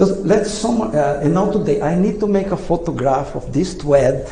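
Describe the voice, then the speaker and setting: A man with a non-native accent speaks in a high voice with lively intonation. Noticeable background noise and audible room echo fill the recording. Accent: non-native English pronunciation. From Brazil. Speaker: engineer, inventor. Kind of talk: lecture. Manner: halting.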